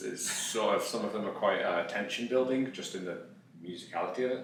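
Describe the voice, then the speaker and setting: Speech at a fairly quick pace comes with noticeable background noise and audible room echo. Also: man. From West Midlands, England (Dudley). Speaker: musician and music lecturer. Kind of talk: casual interview chat.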